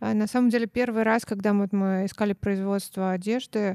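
The dark, mellow tone comes through a dry, close sound with no echo on a very clean recording with a silent background. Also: woman. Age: 30s. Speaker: co-founder of a children's clothing brand, former florist. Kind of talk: casual interview.

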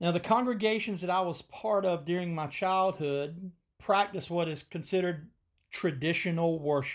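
This man has a high pitch with ordinary pitch variation, captured on a very clean recording with a silent background. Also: moderate pace. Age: 50s. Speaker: podcast host and preacher. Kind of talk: solo podcast monologue.

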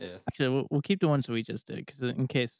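In a Canadian accent, a man at medium pitch talks at a very fast pace, the sound dry and close with no echo. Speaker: podcast host. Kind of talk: casual chat.

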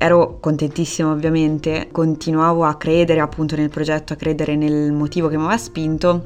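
A woman with a very deep, low pitch speaks at a fairly quick pace with hardly any pauses. Her intonation is monotone and flat, with music in the background. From Italy, Perugia (Umbria). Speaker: illustrator. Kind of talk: casual interview chat. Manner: hesitant, many fillers.

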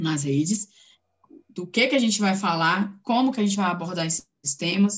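A woman talks at a fairly quick pace in a medium pitch. Her voice is somewhat breathy, with ordinary pitch variation. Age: 30s. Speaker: political scientist and community activist. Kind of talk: interview. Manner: casual, filler-heavy.

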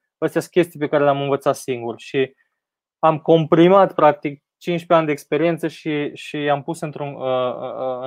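A man with a normal speaking voice and a fairly high pitch speaks at a moderate pace in fairly even intonation, in a dry, close sound with no echo. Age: 30s. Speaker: tech entrepreneur. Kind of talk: interview on a live stream.

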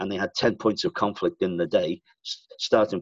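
A man talks at a very fast pace in a Liverpool accent. The sound is dry and close, with no echo. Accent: Liverpool Scouse. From Liverpool, England. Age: 60s. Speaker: sales consultant and author. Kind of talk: interview, conversational explanation.

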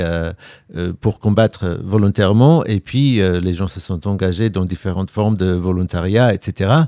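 The voice has a dark, mellow tone, ordinary pitch variation and a fairly slow pace. The sound is dry and close with no echo, in a very clean recording with a silent background. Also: man. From England, London. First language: English (speaking French). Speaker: war reporter, TV journalist. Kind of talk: interview conversation.

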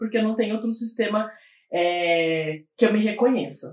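Here a woman uses a plain, everyday voice with ordinary pitch variation. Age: 30s. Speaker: activist and social scientist. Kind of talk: casual chat.

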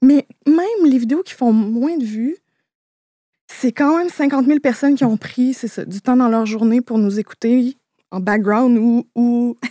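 A woman with a high pitch and a dark, mellow tone talks at a fairly slow pace with long, frequent pauses, recorded dry and close with no echo. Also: ordinary pitch variation. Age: 30s. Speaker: YouTuber. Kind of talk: casual chat.

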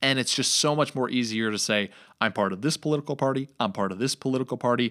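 In a very clean recording with a silent background, a man with an American accent has an ordinary speaking voice, medium pitch and ordinary pitch variation. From New York. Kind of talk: casual religious discussion.

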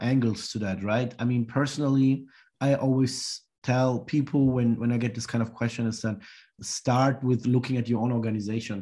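A man at medium pitch speaks at a moderate pace in a dark, mellow tone with fairly even intonation. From third culture kid, Sri Lanka and Germany. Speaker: social entrepreneur and lecturer. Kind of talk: interview. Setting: remote call.

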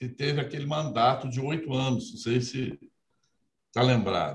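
A somewhat breathy male voice. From Minas Gerais interior, Brazil. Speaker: judge, electoral court president. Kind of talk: interview. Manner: formal.

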